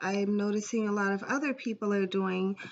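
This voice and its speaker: Against a quiet background, a woman talks at a fairly high pitch with fairly even intonation. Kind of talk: spiritual talk to camera. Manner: hesitant, many fillers.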